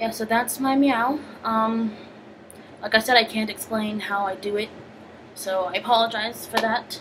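Background noise is noticeable. A woman talks at a moderate pace with fairly even intonation. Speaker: vlogger. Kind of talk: casual vlog chat. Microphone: phone near.

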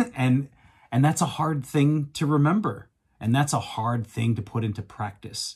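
Against a quiet background, a man speaks at a fairly slow pace in a somewhat breathy voice with ordinary pitch variation. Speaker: podcast host. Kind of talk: podcast monologue. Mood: reflective, earnest. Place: home room. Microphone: studio mic.

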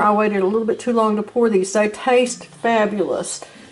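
A woman speaks in a Southern US accent with monotone, flat intonation. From US South. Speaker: home cooking video host. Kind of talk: cooking tutorial. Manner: casual with many fillers and hesitations. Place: kitchen. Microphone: camera far.

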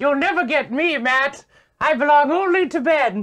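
The pace is moderate. A high-pitched, put-on character voice is doing the talking. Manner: taunting.

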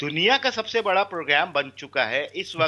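With a bright, sharp tone and a high pitch, a man talks with lively intonation over a quiet background. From Pakistan. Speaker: party representative; guest. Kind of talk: political debate. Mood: assertive, correcting other guest. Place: home room. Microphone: video call.

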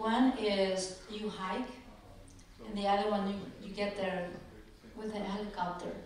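Monotone, flat intonation at a fairly slow pace, with long, frequent pauses, light background noise and strong room echo. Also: woman, medium pitch for a woman. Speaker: event organizer. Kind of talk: welcome speech. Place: hall.

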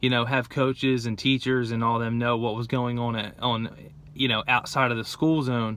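Fairly quick, monotone, flat delivery from a man with an American accent, dry with no echo. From New Jersey (Gloucester City). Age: 20s. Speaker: person in addiction recovery. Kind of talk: personal testimony. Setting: in a car. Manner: casual, filler-heavy. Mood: calm, reflective. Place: car. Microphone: phone near.

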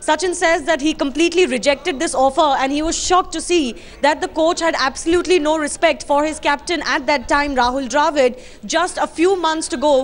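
This woman talks at a fairly quick pace. Her voice is high, with ordinary pitch variation. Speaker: news correspondent. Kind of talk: live news report. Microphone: handheld.

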